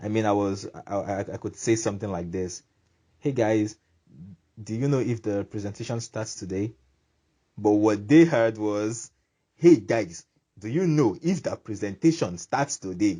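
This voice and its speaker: With an American accent, a man speaks at a moderate pace and a fairly low pitch, his somewhat breathy voice carrying a dark, mellow tone and ordinary pitch variation, broken by long, frequent pauses. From Nigeria. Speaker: YouTuber. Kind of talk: vlog monologue. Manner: animated.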